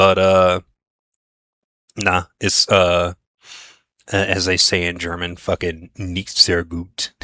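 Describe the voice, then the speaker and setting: A man puts on a raspy character voice with a very deep, low pitch. He speaks very slowly and in a flat monotone, leaving long, frequent pauses. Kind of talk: casual, profane. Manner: weary, casual.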